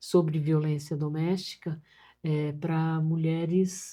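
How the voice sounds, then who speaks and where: A woman's fairly low-pitched voice with a dark, mellow tone at a very slow pace, on a very clean recording with a silent background. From Brazil, São Paulo state. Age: 70s. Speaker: social worker. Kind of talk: interview.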